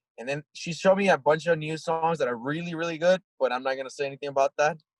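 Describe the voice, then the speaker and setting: A man talks very fast at a fairly high pitch. The sound is dry and close with no echo. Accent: Spanish. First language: Spanish. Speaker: rock band singer and lyricist. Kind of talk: casual interview.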